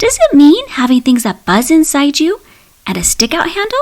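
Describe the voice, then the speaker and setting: A woman's squeaky, put-on character voice, high-pitched and timid in tone, at a moderate pace. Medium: read story. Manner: timid, wondering.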